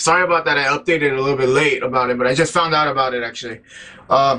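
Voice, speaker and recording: Very fast speech comes with fairly even intonation. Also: man, fairly high pitch for a man. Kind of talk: casual vlog news update. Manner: halting, stumbling.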